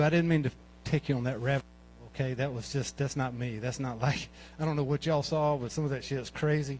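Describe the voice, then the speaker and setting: A man with a Southern US accent, fairly even intonation and a fairly quick pace. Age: 60s. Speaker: amateur comedian. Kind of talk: stand-up. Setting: stage with audience. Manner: halting.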